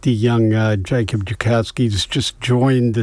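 The intonation holds fairly even. It is reading aloud in a natural voice.

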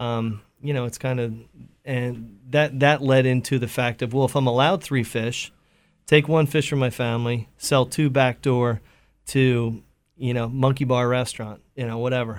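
A man with an American accent and monotone, flat intonation, in a very clean recording with a silent background. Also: medium pitch for a man, moderate pace. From Pennsylvania, US. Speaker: chef and fisherman. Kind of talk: casual radio interview. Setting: radio studio.

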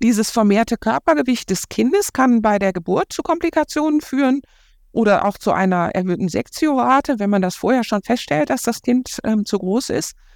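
A woman's fairly high voice with very wide pitch swings and very even loudness, dry and close with no echo, on a very clean recording with a silent background. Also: moderate pace. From Ruhr area, Germany. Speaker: diabetologist. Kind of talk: interview. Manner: hesitant, many fillers.

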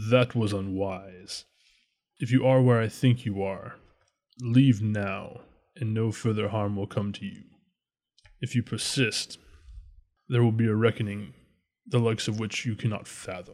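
In a put-on character voice at medium pitch, a man leaves long, frequent pauses on a very clean recording with a silent background. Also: moderate pace. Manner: menacing, cold.

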